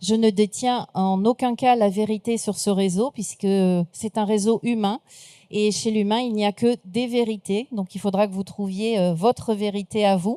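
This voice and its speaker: A woman's fairly high-pitched voice with a dark, mellow tone and fairly even intonation, at a fairly slow pace, in a very clean recording with a silent background and a dry, close sound with no echo. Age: 60s. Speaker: speaker and trainer, former recruiter. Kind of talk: conference talk.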